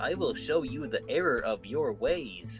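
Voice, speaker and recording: Clear music plays in the background as a man performs a put-on character voice. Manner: menacing.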